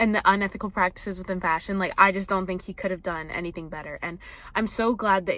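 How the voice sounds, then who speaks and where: A woman talking very fast in an animated tone, medium-pitched, with big swings in loudness and a bright, sharp tone. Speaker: vlogger. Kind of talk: casual vlog review.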